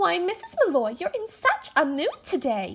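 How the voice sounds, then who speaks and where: A soft-spoken, squeaky put-on character voice at a moderate pace, with very wide pitch swings. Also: woman. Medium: stage play. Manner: soft, hesitant.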